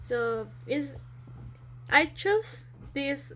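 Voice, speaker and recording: A woman speaks with a non-native accent. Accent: non-native pronunciation. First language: Spanish. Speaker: student. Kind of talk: school presentation. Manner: halting.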